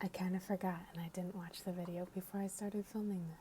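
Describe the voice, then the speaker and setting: Speaking with monotone, flat intonation, a woman holds a medium pitch. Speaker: ASMR content creator. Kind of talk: ASMR ramble, casual talk to camera. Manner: soft-spoken, sometimes whispering.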